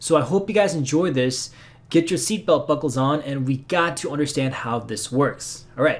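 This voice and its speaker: This man talks at a fairly quick pace in a fairly high pitch, with ordinary pitch variation. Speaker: programming tutor. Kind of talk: tutorial. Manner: fast; halting.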